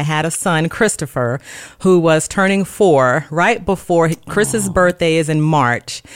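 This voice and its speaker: Speaking with a Mississippi accent, a woman uses a fairly low pitch with ordinary variation. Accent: Southern US (Mississippi). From US South, Gulfport, Mississippi. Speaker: registered nurse. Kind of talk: casual chat.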